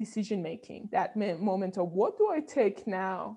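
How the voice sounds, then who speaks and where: Against a quiet background, a woman talks at a medium pitch with fairly even intonation. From Iran (Tehran). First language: Persian. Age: 30s. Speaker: neuroscientist and bioengineer. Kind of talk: interview.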